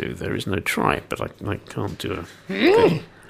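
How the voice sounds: Using a croaky, put-on character voice, a man speaks at a fairly slow pace.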